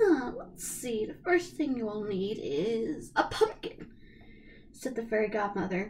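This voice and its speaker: Against music in the background, a woman speaks at a fairly slow pace and a fairly high pitch, with very wide pitch swings. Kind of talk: storybook read-aloud. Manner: some stumbling and fumbling.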